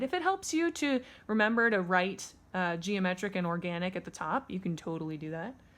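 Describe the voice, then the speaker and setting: In a very clean recording with a silent background, a woman talks at a moderate pace with a medium pitch. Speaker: elementary art teacher. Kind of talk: tutorial. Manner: casual, conversational.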